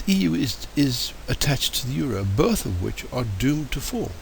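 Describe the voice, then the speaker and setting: A man with an English accent talks at a fairly slow pace. There is noticeable background noise and audible room echo. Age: 70s. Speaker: political commentator. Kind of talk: political monologue. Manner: hesitant, many fillers.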